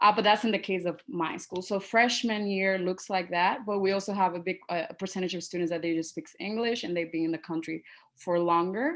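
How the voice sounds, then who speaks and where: A woman with a Spanish accent talks at a fairly quick pace, with hardly any pauses and fairly even intonation. The recording is very clean, with a silent background. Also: medium pitch for a woman. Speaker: teacher. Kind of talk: panel presentation. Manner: halting.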